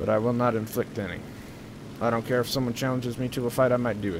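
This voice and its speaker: Monotone, flat intonation comes at a fairly quick pace in an American accent, with noticeable background noise present. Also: man. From Southern California. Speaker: gaming streamer. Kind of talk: casual gameplay commentary.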